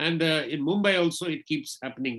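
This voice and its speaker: His tone bright and sharp, a man speaks at a high pitch with ordinary pitch variation. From India, Kashmir (Srinagar). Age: 60s. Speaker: invited lecture speaker on technology. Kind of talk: webinar lecture. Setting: online webinar.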